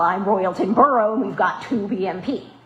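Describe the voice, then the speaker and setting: With an American accent, a woman speaks in a fairly high pitch with lively intonation, amid noticeable background noise and audible room echo. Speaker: stormwater program coordinator presenting to a board. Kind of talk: public meeting presentation. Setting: municipal board meeting. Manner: fast.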